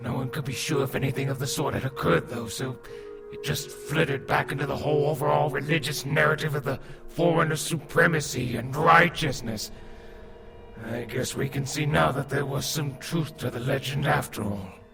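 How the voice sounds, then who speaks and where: Over loud background music, a man puts on a character voice, pitched fairly high and delivered at a fairly quick pace. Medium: audio drama. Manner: measured, explanatory.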